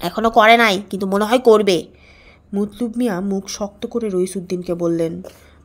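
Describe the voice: Ordinary pitch variation in plain reading aloud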